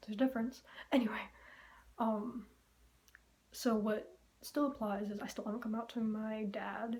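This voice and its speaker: Soft-spoken and somewhat breathy, a woman talks at a moderate pace in a fairly high pitch, her intonation monotone and flat, with long, frequent pauses. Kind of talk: casual vlog update. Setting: empty bedroom. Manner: halting. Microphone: room echo.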